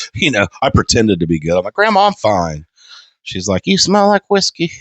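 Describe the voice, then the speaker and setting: This man speaks quietly. He moves at a fairly quick pace. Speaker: podcast co-host. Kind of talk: casual chat.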